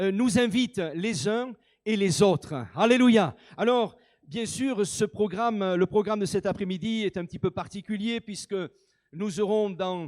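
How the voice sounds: A man speaks with a high pitch at a fairly slow pace. His tone is slightly mellow, with ordinary pitch variation.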